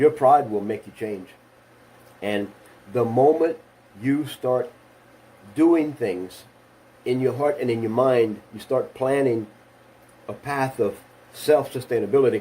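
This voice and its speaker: A man speaks at a medium pitch with a dark, mellow tone and ordinary pitch variation. His pace is fairly slow, with long, frequent pauses. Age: 60s. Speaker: motivational speaker. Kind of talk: motivational talk.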